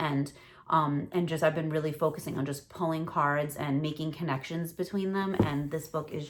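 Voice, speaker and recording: With a New York accent, a woman speaks in a very deep, low pitch and a monotone, flat intonation. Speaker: tarot reader. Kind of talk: casual talk to camera. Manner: relaxed, rambling.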